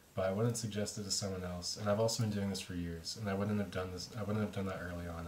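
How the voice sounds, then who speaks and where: Mumbled words tumble out at a very fast pace in a monotone, flat delivery. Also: man. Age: young. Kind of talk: casual talk to camera. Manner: mumbling, halting, many filler words.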